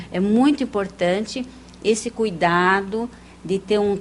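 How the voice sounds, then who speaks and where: At a fairly slow pace, a woman talks with medium pitch and ordinary pitch variation. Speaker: parapsychologist and hypnotherapist. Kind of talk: TV interview. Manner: soft-spoken.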